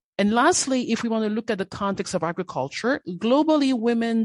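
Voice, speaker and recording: Against a quiet background, a woman with a non-native accent and fairly high pitch speaks at a fairly quick pace with lively intonation, in dry, close sound with no echo. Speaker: gender and social inclusion specialist. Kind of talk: interview.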